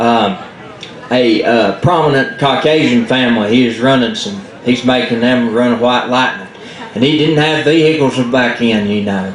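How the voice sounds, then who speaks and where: A man with a Southern Appalachian accent, noticeable noise behind him. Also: medium pitch for a man, ordinary pitch variation, moderate pace. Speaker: storyteller. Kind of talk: live folk storytelling to an audience. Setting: live event in a library.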